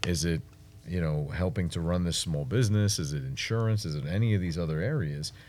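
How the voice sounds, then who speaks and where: The speaker talks at a fairly quick pace with lively intonation and a New York accent. Room echo is audible. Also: man, very deep, low pitch for a man. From Brooklyn, New York City. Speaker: marketing agency owner and entrepreneur. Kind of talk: interview.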